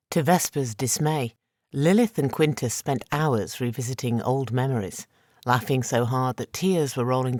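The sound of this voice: Here is an unforced reading voice with ordinary pitch variation. The background stays quiet.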